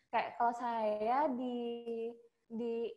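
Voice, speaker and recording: A woman speaks with a Sumatran accent. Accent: regional Sumatran. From Sumatra, Indonesia. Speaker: hotel front office worker, alumna. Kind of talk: casual interview chat. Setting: video call.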